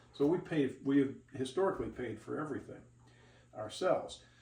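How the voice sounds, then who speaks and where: With audible room echo, a man speaks at a moderate pace in a fairly high pitch with ordinary pitch variation. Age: 60s. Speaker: video blogger. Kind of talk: casual chat; tutorial. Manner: conversational with hesitations.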